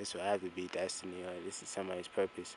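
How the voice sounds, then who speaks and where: A man speaks quietly in a very deep, low voice with flat, monotone intonation. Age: 20s. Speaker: video diarist. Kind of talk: casual monologue vlog. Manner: quiet, talking low; halting, repetitive.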